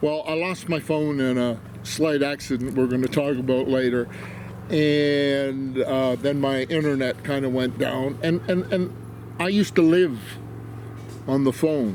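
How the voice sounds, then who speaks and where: The speech moves at a fairly slow pace with ordinary pitch variation against noticeable background noise. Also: man, fairly high pitch for a man. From Canada. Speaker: war veteran. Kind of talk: interview testimony. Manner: halting.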